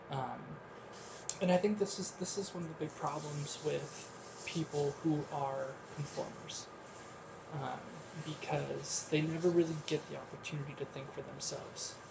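This man's voice is fairly high and his intonation fairly even, with long, frequent pauses. The recording has audible room echo and noticeable background noise. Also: moderate pace. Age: 30s. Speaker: podcast host. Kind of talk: solo monologue. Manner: frequent filler ums.

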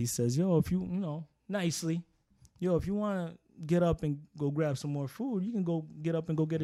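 A man with an American accent and a dark, mellow tone is heard in a very clean recording with a silent background. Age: 40s. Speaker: tattoo artist. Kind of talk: casual interview.

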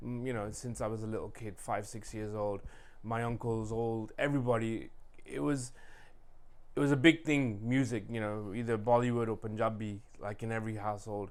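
Talking at a fairly quick pace, a man keeps his intonation fairly even, with audible room echo. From England, Leicester. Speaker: DJ. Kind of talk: casual chat.

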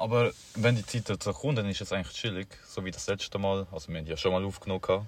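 A man talks at a very fast pace with a fairly low pitch. His voice is somewhat breathy, with ordinary pitch variation. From Paraguay. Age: young. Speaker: podcast co-host. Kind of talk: casual chat. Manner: mumbling.

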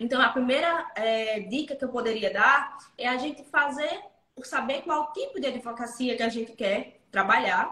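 A woman's high-pitched, raised, projected voice moves at a moderate pace. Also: ordinary pitch variation. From interior of Pernambuco, Brazil. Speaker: lawyer. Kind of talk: casual interview.

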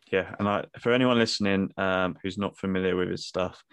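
A monotone, flat delivery in a British accent against a quiet background. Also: man. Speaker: podcast host.

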